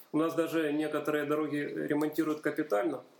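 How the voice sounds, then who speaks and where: Over noticeable background noise, a man talks at a fairly quick pace in a fairly high pitch. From Donbas, Ukraine (Horlivka). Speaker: university chemistry lecturer. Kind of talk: casual interview.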